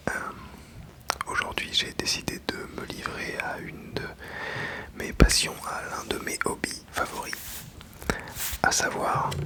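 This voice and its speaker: Over noticeable background noise, a man whispers very slowly, leaving long, frequent pauses. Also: big swings in loudness. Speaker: ASMR toy unboxing channel host. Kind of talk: ASMR unboxing and toy review, casual talk to camera. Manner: soft-spoken, whispered, relaxing.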